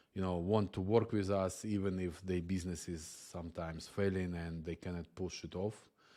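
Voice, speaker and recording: A man with a non-native accent speaks at a moderate pace in a very deep, low voice with a dark, mellow tone. His intonation is flat and monotone, and the recording is very clean with a silent background. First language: not English. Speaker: software agency founder. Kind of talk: channel introduction monologue. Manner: halting, many fillers.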